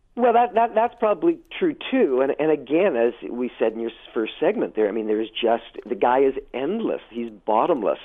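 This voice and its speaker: At a moderate pace, a man with a Canadian accent speaks at a fairly high pitch with very wide pitch swings. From Hamilton, Ontario, Canada. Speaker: drama coach. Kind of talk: radio interview.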